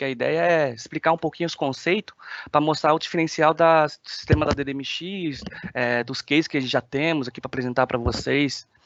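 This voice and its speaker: Moving at a fairly quick pace, a man talks at a fairly high pitch with ordinary pitch variation. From China. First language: Chinese (speaking Portuguese). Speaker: application engineer. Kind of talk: webinar presentation. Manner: hesitant, many filler sounds.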